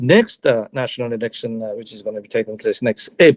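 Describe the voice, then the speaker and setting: A man speaks with a Japanese accent. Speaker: retired diplomat. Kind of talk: panel talk. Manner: halting, many fillers.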